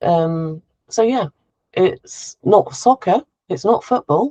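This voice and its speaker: This woman's voice has a dark, mellow tone, a medium pitch and lively intonation, captured with a dry, close sound free of echo. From Devon, England. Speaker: expat consultant. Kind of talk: casual chat.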